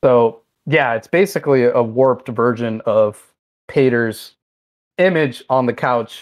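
A man's medium-pitched voice at a fairly slow pace, with long, frequent pauses and ordinary pitch variation. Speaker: game developer guest. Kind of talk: casual interview.

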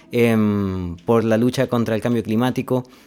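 A man with a plain, everyday voice and medium pitch talks at a fairly slow pace on a very clean recording with a silent background. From Chile, Linares (Maule region). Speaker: human ecologist, NGO climate director. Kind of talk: casual interview chat.

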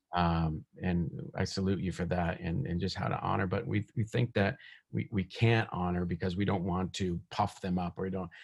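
A man's very deep, low voice with vocal fry at a moderate pace. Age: 50s. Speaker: minister. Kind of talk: sermon; casual chat. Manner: halting.

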